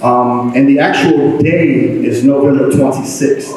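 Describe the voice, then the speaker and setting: Against noticeable background noise and audible room echo, a man with an American accent speaks at a fairly high pitch. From Eastern North Carolina, US South. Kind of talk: public talk to an audience. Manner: hesitant, many fillers.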